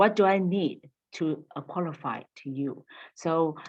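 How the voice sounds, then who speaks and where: A woman's very deep, low pitch with ordinary pitch variation. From Taiwan. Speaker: university language teacher. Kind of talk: panel Q&A discussion. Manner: halting, many fillers.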